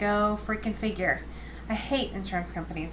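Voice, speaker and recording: Mumbling at a fairly quick pace, a woman talks in a room with audible echo. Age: 20s. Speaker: video blogger, cancer patient. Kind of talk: casual video diary. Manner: fast. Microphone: built-in camera microphone.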